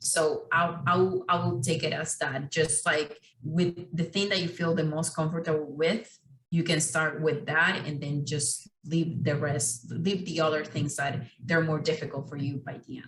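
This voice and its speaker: The speaker has a non-native accent and a fairly slow pace. Intonation is fairly even. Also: woman, very deep, low pitch for a woman. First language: not English. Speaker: architecture exam panelist. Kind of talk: panel discussion.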